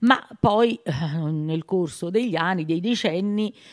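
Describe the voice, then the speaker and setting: A plain, everyday voice at a fairly slow pace with ordinary pitch variation, against a quiet background. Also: woman. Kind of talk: interview answer. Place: hall. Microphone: handheld.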